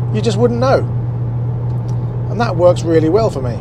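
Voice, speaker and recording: Loud background noise behind a man's dry voice with no echo. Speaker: car reviewer. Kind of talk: casual review commentary while driving. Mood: cheerful, relaxed. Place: car. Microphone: lapel.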